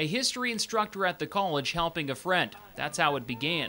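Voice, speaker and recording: A man's moderately paced speech, with ordinary pitch variation, comes through noticeable background noise. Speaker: sports TV host. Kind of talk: local TV sports news narration.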